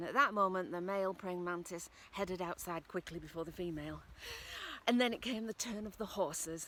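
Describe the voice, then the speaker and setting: Speaking fairly quickly with a Northern English accent, a woman uses a medium pitch and ordinary pitch variation. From Northern England. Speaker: storyteller. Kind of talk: folk tale storytelling.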